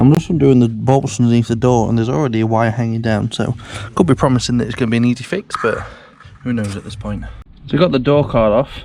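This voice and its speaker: A man with a British accent talks at a fairly quick pace in a medium pitch with ordinary pitch variation, with noticeable background noise present. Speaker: car hobbyist vlogger. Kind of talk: casual vlog tutorial. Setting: home garage. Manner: loud.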